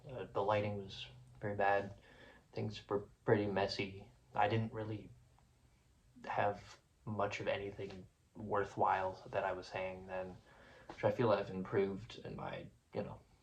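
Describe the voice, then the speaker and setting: Pausing long and often, a man with a fairly low pitch speaks in a somewhat breathy voice with monotone, flat intonation. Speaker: music reviewer YouTuber. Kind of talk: casual video vlog reflection. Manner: fast; hesitant, filler-heavy.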